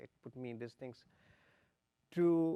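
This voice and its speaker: A man with a Pakistani accent speaks at a fairly slow pace with ordinary pitch variation. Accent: Pakistani (Sindhi) English. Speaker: torture survivor, panelist. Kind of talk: panel discussion. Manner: halting.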